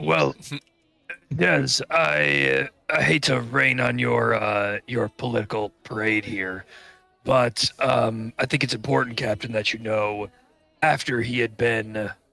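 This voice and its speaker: Put-on character voice from a man, raspy and fairly low in pitch, at a fairly slow pace over faint music in the background. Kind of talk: formal in-character speech. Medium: actual play. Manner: hesitant, polite.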